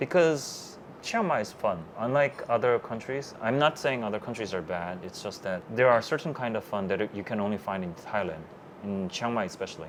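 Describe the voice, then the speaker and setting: With lively intonation and a Korean accent, a man speaks at a moderate pace in a fairly low pitch. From South Korea. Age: 30s. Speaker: web developer, digital nomad. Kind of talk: interview. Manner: halting, many fillers.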